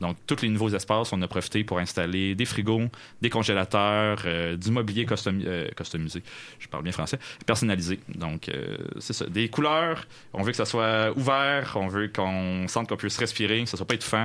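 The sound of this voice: A man talks at a fairly quick pace, his fairly low pitch paired with a fairly bright tone. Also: ordinary pitch variation.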